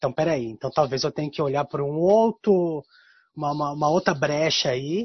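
Somewhat breathy, a man speaks at a moderate pace with a fairly high pitch and ordinary pitch variation. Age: 40s. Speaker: guest talking about his zodiac sign. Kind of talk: casual chat. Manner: halting.

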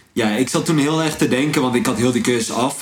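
Amid noticeable background noise and audible room echo, a man talks with fairly even intonation. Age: 20s. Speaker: entrepreneur. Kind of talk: casual chat.

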